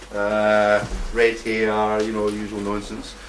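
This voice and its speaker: A man with a Scottish accent and a fairly low pitch is heard with audible room echo and noticeable background noise. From Scotland. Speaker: activist speaker. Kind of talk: conference talk. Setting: stage with audience. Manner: animated.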